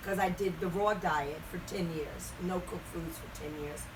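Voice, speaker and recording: Noticeable background noise and audible room echo surround a woman with an American accent. Her medium pitch moves with ordinary variation. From Baltimore, Maryland. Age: 70s. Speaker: retired singer. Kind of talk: interview. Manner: halting.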